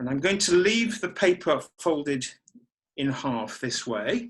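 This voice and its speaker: Shouting at a very slow pace, a man with a fairly high pitch swings very widely in pitch. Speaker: origami designer teaching a model. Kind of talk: online folding tutorial. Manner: loud, deliberately shouting.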